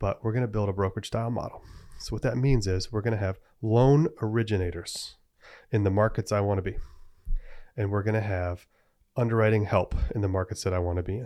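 A dark, mellow tone at a very fast pace, with fairly even intonation and long, frequent pauses, on a very clean recording with a silent background. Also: man, fairly low pitch for a man. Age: 30s. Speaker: hard money lender. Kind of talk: casual podcast monologue.

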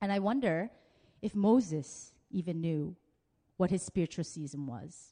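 Her fairly low pitch and dark, mellow tone come with lively intonation as this woman speaks at a fairly slow pace. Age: 30s. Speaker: pastor. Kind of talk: sermon. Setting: church.

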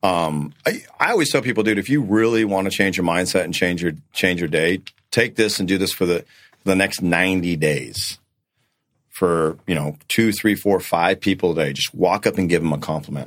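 In a very clean recording with a silent background, a man speaks at a moderate pace with a very deep, low pitch and ordinary pitch variation. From North Dakota. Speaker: real estate coach. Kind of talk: casual chat.

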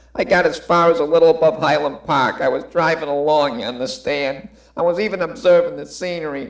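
Pitched high, a man speaks with lively intonation. His pace is moderate. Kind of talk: parody of stage tragedy. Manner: weary, defensive, bitter.

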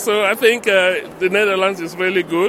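Raising and projecting his high voice, a man speaks at a fairly slow pace over noticeable background noise. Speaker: expat interviewee. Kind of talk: street interview.

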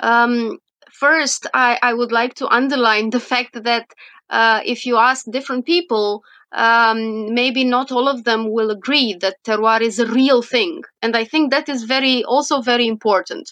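A woman with a Romanian accent speaks at a fairly slow pace in a high, bright, sharp tone. The background is quiet. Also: ordinary pitch variation. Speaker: wine science professor. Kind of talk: interview. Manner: halting, many fillers.

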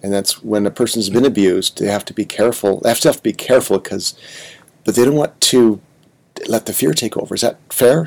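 Very fast, a man talks at medium pitch with ordinary pitch variation in a dry, close sound with no echo. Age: 60s. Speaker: podcast host. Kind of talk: interview conversation.

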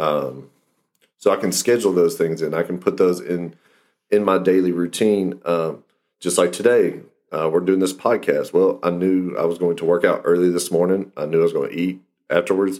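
Keeping a fairly even intonation, a man speaks at a moderate pace in a very deep, low voice. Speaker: fitness coach and podcast host. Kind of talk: casual chat.

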